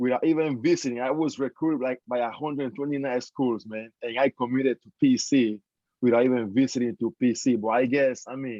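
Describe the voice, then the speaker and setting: Speaking at a moderate pace with a Spanish accent, a man has a medium pitch, a dark, mellow tone, fairly even intonation and a dry, close sound with no echo. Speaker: former college basketball player. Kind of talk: panel discussion.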